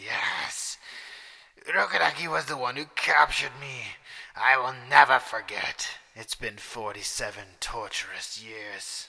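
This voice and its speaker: A man does a put-on character voice. His pace is fairly slow. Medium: read story. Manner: ranting, gloating, cackling.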